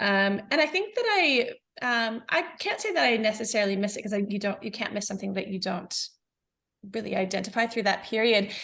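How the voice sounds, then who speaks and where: Her tone is bright and sharp, with a fairly high pitch for a woman. The woman speaks at a fairly quick pace. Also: ordinary pitch variation. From New Zealand. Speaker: business founder. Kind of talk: podcast interview. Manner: hesitant, many fillers.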